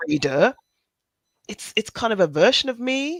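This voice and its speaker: At a moderate pace, the voice shows vocal fry and very wide pitch swings in a dry, close sound with no echo. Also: woman. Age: 50s. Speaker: newsreader and YouTuber. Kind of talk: casual chat. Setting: livestream video call.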